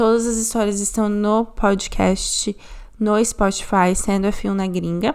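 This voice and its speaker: Fairly even intonation in a normal speaking voice. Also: woman. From Brazil. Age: 20s. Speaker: podcast host, paralegal. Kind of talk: podcast intro.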